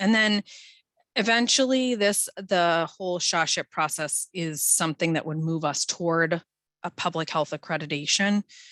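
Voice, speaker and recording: The background is quiet and the sound dry and close, with no echo. A woman speaks at a moderate pace in a fairly low pitch. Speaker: public health official. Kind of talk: presentation. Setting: video call. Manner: loud.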